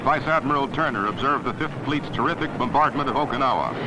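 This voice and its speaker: A man's fairly high voice at a very fast pace with hardly any pauses, over noticeable background noise. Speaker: newsreel commentator. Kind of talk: 1940s newsreel narration. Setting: old archival film recording.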